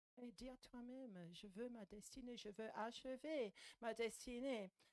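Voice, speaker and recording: A woman with a British accent at a very slow pace, in a dry, close sound with no echo. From Anglo-Scottish border, UK. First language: English (speaking French). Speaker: visiting preacher. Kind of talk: sermon. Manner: animated.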